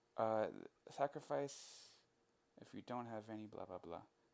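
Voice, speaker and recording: A man with a medium-pitched voice talks at a moderate pace, his intonation lively and his loudness swinging widely. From Canada. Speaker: gaming YouTuber. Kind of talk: gameplay commentary. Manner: animated.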